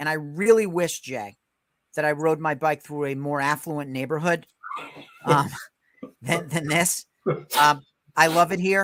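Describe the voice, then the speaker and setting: With a New York accent, a man speaks fairly slowly at a fairly high pitch, his pitch varying in an ordinary way and his speech broken by long, frequent pauses. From New York, Westchester. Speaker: podcast host, real estate agent. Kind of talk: casual interview chat.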